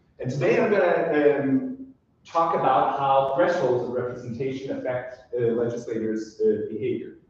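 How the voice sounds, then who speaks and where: A fairly high-pitched man with an American accent at a moderate pace, with audible room echo. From Denmark. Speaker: political scientist. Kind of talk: academic seminar talk. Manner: many hesitations and fillers.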